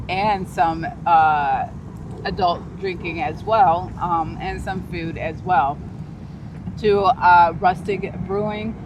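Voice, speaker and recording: A woman with an American accent speaks at a very slow pace with fairly even intonation. Audible room echo and noticeable background noise are present. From Chicago. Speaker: realtor. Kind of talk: casual real estate video chat.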